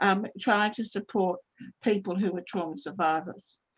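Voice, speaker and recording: A woman with an Australian accent, somewhat breathy, with lively intonation at a moderate pace against a quiet background. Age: 70s. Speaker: trauma counsellor. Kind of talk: webinar talk. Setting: video call. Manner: halting, many self-corrections.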